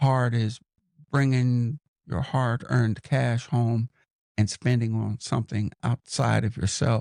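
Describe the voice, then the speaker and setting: The speaker talks at a very slow pace in an American accent, with fairly even intonation. The sound is dry and close, with no echo. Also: man. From Los Angeles, California. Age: 60s. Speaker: podcaster and mentor. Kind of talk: interview.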